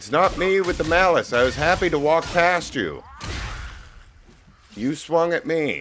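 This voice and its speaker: A man's high pitch at a fairly slow pace, with long, frequent pauses, ordinary pitch variation, and music in the background. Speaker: gaming video creator. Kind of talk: let's play commentary. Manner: quiet.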